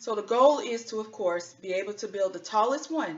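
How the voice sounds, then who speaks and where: A woman with an American accent and an ordinary speaking voice, at a moderate pace with lively intonation. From US South, North Carolina. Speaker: engineer and children's author. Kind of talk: tutorial for children.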